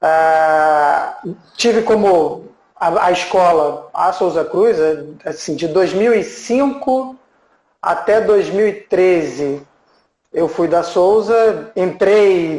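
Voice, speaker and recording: Delivery comes at a very slow pace with ordinary pitch variation. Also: man, high pitch for a man. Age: 40s. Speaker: HR manager. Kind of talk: casual live stream chat.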